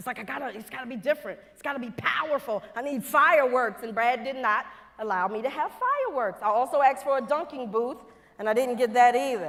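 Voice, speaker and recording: A woman talks very fast at a high pitch, her intonation lively. Noticeable background noise runs underneath. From Louisiana, US South. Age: 50s. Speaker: NASA quality engineer, plenary speaker. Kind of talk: conference keynote talk. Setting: stage with audience. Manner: animated.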